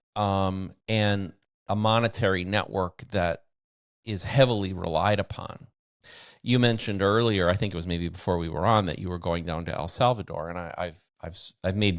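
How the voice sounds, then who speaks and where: A man's very deep, low voice at a moderate pace, with big swings in loudness. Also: very clean recording, silent background. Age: 60s. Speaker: bitcoin mining veteran. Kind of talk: interview.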